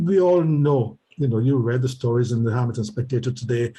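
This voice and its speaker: A man with a medium pitch and a dark, mellow, somewhat breathy tone speaks at a moderate pace with ordinary pitch variation. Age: 80s+. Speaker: retired professor and community advocate. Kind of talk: interview. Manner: halting, many repetitions and fillers.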